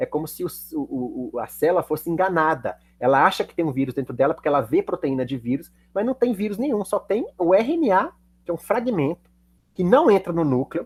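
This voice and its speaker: A man's high-pitched voice with very wide pitch swings and a fairly quick pace, recorded with a dry, close sound and no echo. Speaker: chemistry teacher. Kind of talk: lecture. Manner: fast.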